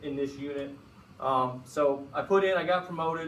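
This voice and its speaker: A man with an American accent speaks with fairly even intonation, with audible room echo around him. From Chicago. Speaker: FBI agent. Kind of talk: guest lecture. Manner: fast; casual.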